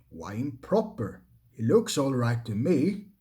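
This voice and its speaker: A man's put-on character voice at a medium pitch and fairly slow pace, with very wide pitch swings. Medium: read story.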